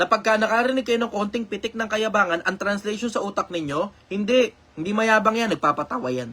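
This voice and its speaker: Raising and projecting his voice, a man speaks fairly quickly with hardly any pauses, his high pitch bright, sharp and shrill with ordinary pitch variation. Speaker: online commentator answering questions. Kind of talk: casual live stream talk. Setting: live stream.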